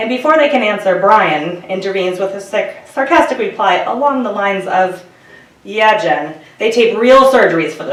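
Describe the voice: Lively intonation in plain reading aloud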